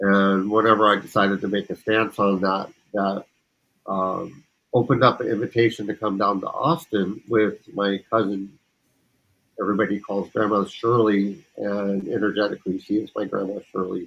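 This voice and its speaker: In an unremarkable speaking voice, a man talks at a moderate pace and fairly low pitch with fairly even intonation. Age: 50s. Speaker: community participant sharing personal story. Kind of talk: personal testimony.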